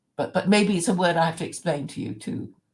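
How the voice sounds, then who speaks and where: A woman speaks in an Oxford English accent. Vocal fry runs through her voice. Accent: proper Oxford English. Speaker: channel host. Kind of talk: casual conversation.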